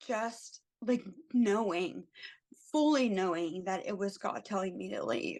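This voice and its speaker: With an American accent, a woman speaks at a very slow pace with lively intonation. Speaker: travel ICU nurse. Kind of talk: podcast interview answer.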